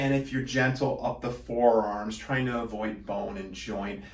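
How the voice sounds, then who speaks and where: A man with a medium pitch and ordinary pitch variation speaks at a moderate pace, with audible room echo and noticeable background noise around him. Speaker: product demonstrator for a massage device company. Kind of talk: product tutorial. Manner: casual, with frequent fillers.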